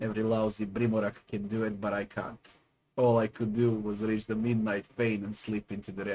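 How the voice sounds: This is a natural reading voice. It is the whole of the clip's character.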